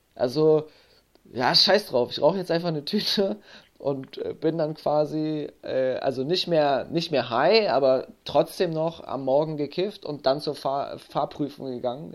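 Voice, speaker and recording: At a fairly slow pace, a man with an unremarkable speaking voice talks in a fairly high pitch. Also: ordinary pitch variation. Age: 30s. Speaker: podcast host and addiction coach. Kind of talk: casual interview.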